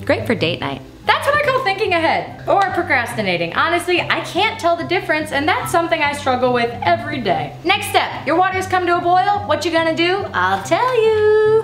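Against faint music in the background and audible room echo, a woman talks at a fairly quick pace with hardly any pauses. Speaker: cooking show host. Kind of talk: comedic cooking tutorial. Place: kitchen.

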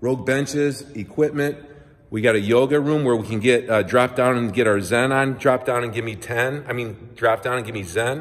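A moderate pace against a quiet background. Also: man. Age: 50s. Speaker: personal trainer. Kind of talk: promotional video tour. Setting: walking through a gym. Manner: animated. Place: gym. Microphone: phone near.

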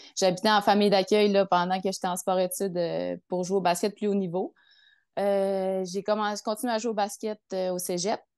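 Against a quiet background, a woman talks at a moderate pace in a flat monotone. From Quebec, Lac-Saint-Jean. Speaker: triathlete and physiotherapist. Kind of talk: casual interview. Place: home room. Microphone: earbuds.

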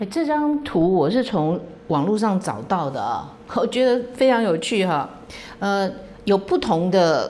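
Pitch swings very widely throughout. The pace is very slow. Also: woman. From Taiwan. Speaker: political commentary host; political commentator, lawyer. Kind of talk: solo commentary monologue; political commentary monologue. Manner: frequent fillers (哈, 啊).

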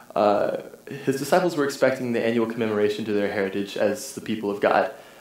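Audible room echo around a man with ordinary pitch variation. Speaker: preacher. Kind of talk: sermon. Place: church.

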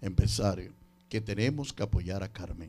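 A man speaks in an animated tone with lively intonation. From Dominican Republic. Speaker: radio show producer and entertainment promoter; radio show producer. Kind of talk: interview with preaching asides. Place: studio. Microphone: handheld.

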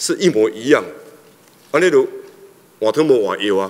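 A man talks at a fairly quick pace. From Taiwan. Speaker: legislator. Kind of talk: parliamentary questioning. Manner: halting, many fillers. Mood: critical, challenging. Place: hall. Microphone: podium.

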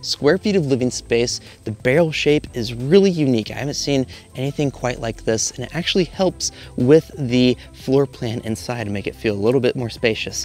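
Male speech at a moderate pace, dry with no echo, over faint background music. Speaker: tiny house tour host. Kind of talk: tour commentary. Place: garden.

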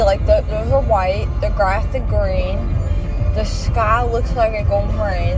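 A woman speaks at a fairly slow pace in a dry sound with no echo, with clear music in the background. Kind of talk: casual vlog chat. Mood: giddy, loopy after anesthesia. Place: car. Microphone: phone near.

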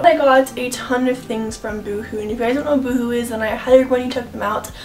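Faint music plays behind a woman's voice. Her pitch is high, with ordinary variation. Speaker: fashion vlogger. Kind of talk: casual vlog chat. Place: home room.

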